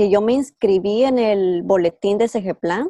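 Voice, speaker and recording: A woman's dark, mellow tone with ordinary pitch variation, in a dry, close sound with no echo. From Guatemala. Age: 20s. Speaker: cancer researcher. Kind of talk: interview. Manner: halting.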